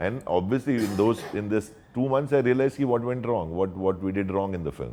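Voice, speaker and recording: A man with a fairly low pitch speaks in a dark, mellow tone. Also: ordinary pitch variation. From Marathi household, India. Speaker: actor and dubbing artist. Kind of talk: interview answer.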